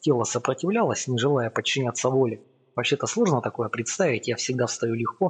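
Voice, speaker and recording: The speaker is a man with a medium pitch. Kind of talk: audiobook narration, first-person literary reading. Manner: measured, storytelling pace, building suspense.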